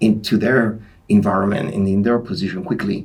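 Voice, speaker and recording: A man speaks with a Greek Cypriot accent at a moderate pace. His pitch is fairly low, with ordinary variation. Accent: Greek Cypriot accent, mocked in the US. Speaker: sport scientist and personal trainer. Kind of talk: podcast interview. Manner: hesitant, many fillers.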